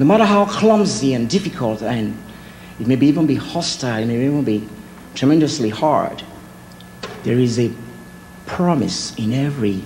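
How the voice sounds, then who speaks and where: A man with a non-native accent talks at a moderate pace with very wide pitch swings and long, frequent pauses, amid audible room echo and noticeable background noise. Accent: foreign. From Nigeria. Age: 40s. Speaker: artist. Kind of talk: speech.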